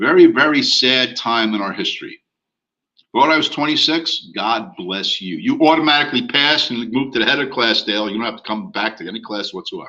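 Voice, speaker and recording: Loudness swings widely as a man speaks. His pace is fairly quick. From US. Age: 60s. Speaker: real estate instructor. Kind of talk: online class lecture. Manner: casual, conversational.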